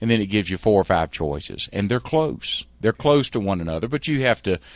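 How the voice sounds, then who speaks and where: A man talks with lively intonation, captured in a very clean recording against a silent background. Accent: Southern US. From US South Carolina. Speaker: leadership trainer and former lawyer. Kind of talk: interview conversation.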